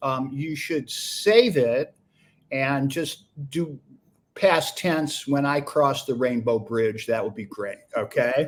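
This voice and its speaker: Very slowly, a man speaks with very wide pitch swings. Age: 60s. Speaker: defense attorney and former radio host. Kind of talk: interview.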